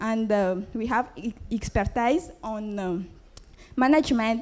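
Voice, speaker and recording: A very slow, fairly high female voice in a French accent, dark and mellow in tone, with ordinary pitch variation. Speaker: entrepreneur. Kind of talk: business pitch; pitch competition Q&A. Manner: halting.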